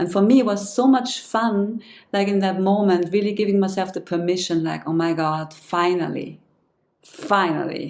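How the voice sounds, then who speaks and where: A woman speaks at a fairly slow pace with ordinary pitch variation. She has an ordinary speaking voice with a medium pitch. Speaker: interviewer, singer, channel host. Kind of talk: interview, conversational questions.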